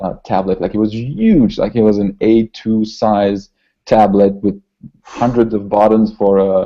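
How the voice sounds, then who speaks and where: The man's pitch sits fairly low and his intonation is fairly even. He speaks with a French accent. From southern France, Toulouse. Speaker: concept artist. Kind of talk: interview. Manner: halting, many repetitions.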